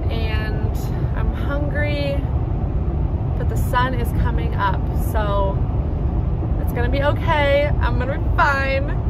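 Over loud background noise, a woman talks at a very slow pace, pausing long and often. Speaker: vlogger on a solo road trip. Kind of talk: casual vlog chat. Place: car. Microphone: phone near.

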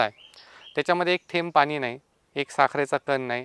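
A man talks in a normal speaking voice. His pitch is fairly high, with ordinary pitch variation. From Maharashtra, Pune district (Ambegaon). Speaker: farmer. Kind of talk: interview testimony.

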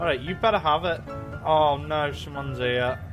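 A man is speaking. Music plays in the background. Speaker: gamer. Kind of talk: gameplay commentary. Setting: low recording volume.

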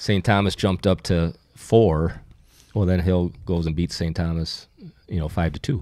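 In an American accent, a man speaks with a very deep, low pitch and a dark, mellow tone. The background is quiet. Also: moderate pace, dry sound with no echo. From Minnesota. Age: 50s. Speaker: hockey newspaper publisher. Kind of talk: casual chat. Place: studio. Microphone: studio mic.

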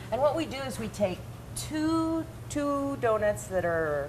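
There is noticeable background noise. A woman is speaking. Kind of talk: tutorial. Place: kitchen. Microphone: lapel.

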